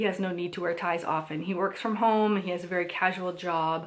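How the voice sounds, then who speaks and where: At a moderate pace, a woman talks in an unremarkable speaking voice with fairly low pitch. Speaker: stay-at-home mom vlogger. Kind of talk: casual haul vlog. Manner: chatty, with fillers.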